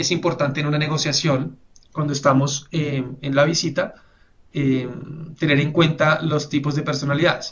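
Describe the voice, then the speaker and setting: This man's voice sits fairly high as he moves along at a fairly brisk clip. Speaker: webinar presenter. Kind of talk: webinar presentation. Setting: online webinar. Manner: fast; hesitant fillers.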